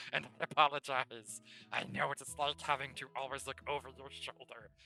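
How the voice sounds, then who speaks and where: With music in the background, a man puts on a character voice at a medium pitch. His pace is moderate. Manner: apologetic, sincere.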